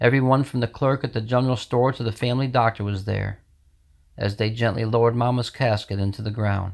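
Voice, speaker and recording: Very fast and fairly even in intonation, a man with an American accent speaks at medium pitch in a very clean recording with a silent background. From New York state, US. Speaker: poet reading his own poem. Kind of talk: poetry reading, rhymed, sorrowful, read aloud.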